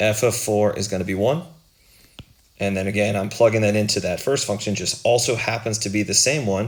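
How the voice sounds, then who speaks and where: A man's fairly low voice at a fairly quick pace, fairly even intonation, with audible room echo. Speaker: math teacher. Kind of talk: lecture.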